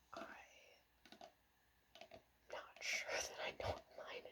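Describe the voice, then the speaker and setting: The speaker is whispering at a very slow pace. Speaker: ASMR creator and guitar player. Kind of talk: ASMR whispered ramble about guitars. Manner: whispered, soft-spoken.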